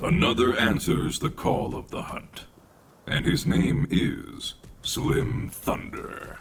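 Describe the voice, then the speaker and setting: A man uses a put-on character voice at a very slow pace. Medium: video game. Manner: dry, condescending, formal.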